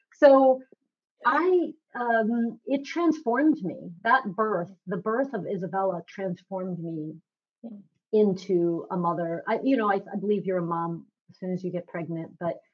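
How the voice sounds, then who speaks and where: An unremarkable speaking voice, a woman's at a medium pitch, moves at a fairly slow pace with lively intonation and big swings in loudness. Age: 50s. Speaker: nutritionist. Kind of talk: interview.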